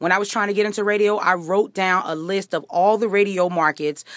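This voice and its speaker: A woman at a fairly quick pace, with ordinary pitch variation and a dry sound with no echo. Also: quiet background. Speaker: radio host and voice actor. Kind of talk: motivational talk to camera. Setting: studio. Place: home room. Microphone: phone near.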